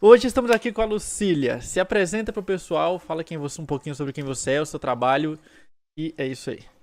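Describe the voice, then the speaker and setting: An unremarkable speaking voice from a man, with lively intonation and big swings in loudness. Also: fairly high pitch for a man, fairly quick pace, very clean recording, silent background. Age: 30s. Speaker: podcast host. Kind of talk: casual interview chat.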